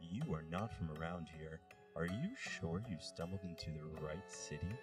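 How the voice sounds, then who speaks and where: Over clear background music, a man does a put-on character voice at a moderate pace. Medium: audio drama. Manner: calm, courteous yet discomforting and menacing.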